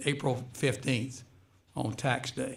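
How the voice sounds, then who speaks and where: A man's somewhat breathy voice at medium pitch. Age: 70s. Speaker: retired high school basketball coach. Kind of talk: radio interview. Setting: radio studio.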